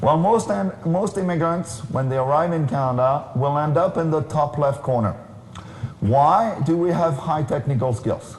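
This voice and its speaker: A man talks at a fairly high pitch with a French accent. Noticeable background noise and audible room echo surround him. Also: lively intonation, moderate pace. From France. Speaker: keynote speaker, career consultant. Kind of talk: conference keynote talk.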